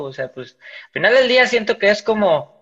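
A man speaks at a moderate pace. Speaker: podcast host. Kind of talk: casual chat.

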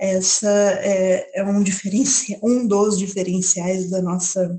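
Her voice is dark and mellow in tone, somewhat breathy, and at a medium pitch for a woman. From Paulínia, São Paulo state, Brazil. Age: 20s. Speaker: listener sending a voice message. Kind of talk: recorded book recommendation. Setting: recorded audio message.

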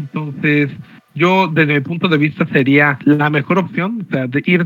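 This man has an ordinary speaking voice at a fairly high pitch. He talks at a moderate pace. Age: 30s. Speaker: tournament-winning card game player. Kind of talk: interview.

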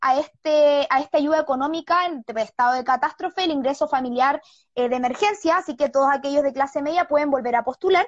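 At a fairly quick pace, the voice carries ordinary pitch variation in a dry, close sound with no echo. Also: woman. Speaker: news presenter. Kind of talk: news report.

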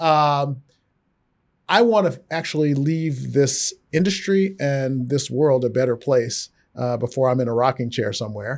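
A man with an American accent has an unremarkable speaking voice, medium in pitch with ordinary variation, at a fairly slow pace. The recording is very clean, with a silent background. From Texas. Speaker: finance executive. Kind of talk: interview.

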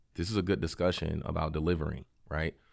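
Background silence frames a very clean recording. A man with an American accent talks very fast, his pitch varying in an ordinary way. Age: 30s. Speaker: city council member running for mayor. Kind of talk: interview.

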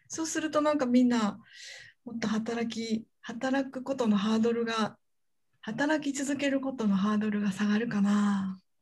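This woman has an unremarkable speaking voice, with a fairly high pitch, ordinary pitch variation, and a moderate pace. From Hyogo, Japan (Kansai). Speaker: university researcher and podcast anchor. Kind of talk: casual interview chat. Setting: video call.

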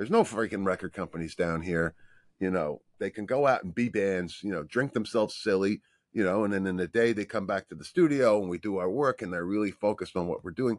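Over a quiet background, a man with an American accent talks at a very fast pace, his fairly low voice showing ordinary pitch variation in a dry, close sound with no echo. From New York. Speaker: mixing engineer. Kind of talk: casual interview chat. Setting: home studio, remote call.

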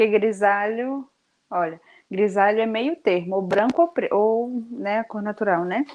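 At a fairly slow pace, a woman with a normal speaking voice talks at a fairly high pitch with ordinary pitch variation. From Brazil, Bahia. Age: young. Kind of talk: casual interview chat.

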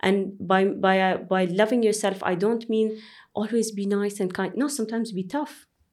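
A woman with an Arabic accent speaks at a moderate pace and medium pitch, with ordinary pitch variation. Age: 30s. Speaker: airline pilot. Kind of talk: interview conversation.

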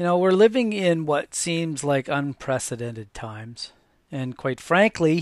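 A calm tone at a fairly slow pace, with lively intonation, a dry, close sound with no echo, and a very clean recording over a silent background. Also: man. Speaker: podcast host sharing faith and transplant story. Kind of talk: personal testimony monologue. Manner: halting, many fillers and repeats.

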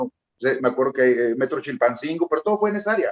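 A man talks at a very fast pace. His pitch is fairly high, and the sound is dry and close with no echo. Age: 40s. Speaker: rapper. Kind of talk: casual chat. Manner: talkative.

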